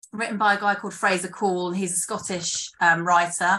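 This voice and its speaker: In a British accent, a woman speaks at medium pitch in a bright, sharp tone. Her intonation stays monotone and flat against a quiet background. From UK. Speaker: screenwriter and theatre director. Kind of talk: casual interview chat. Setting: video call, late at night.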